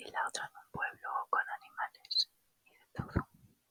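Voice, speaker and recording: Whispering at a very slow pace, a woman keeps a relaxed tone in a dry, close sound with no echo. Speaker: ASMR creator and spiritual wellness channel host. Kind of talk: ASMR whispered anecdotes. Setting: home recording with microphone. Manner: whispered, soft, relaxed.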